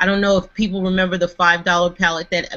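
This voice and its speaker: A woman with an American accent talks at a fairly low pitch. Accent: slight New York, kept under wraps. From New York. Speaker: panelist. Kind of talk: live video chat show.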